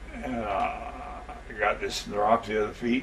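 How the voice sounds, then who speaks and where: A man with an American accent talks while noticeable background noise runs underneath. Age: 80s+. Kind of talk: interview answer.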